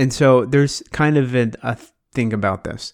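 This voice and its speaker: Using a plain, everyday voice, a man with an American accent speaks at a medium pitch. His pace is fairly slow and his pitch varies in an ordinary way. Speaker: podcast host. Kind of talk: casual chat. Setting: video call.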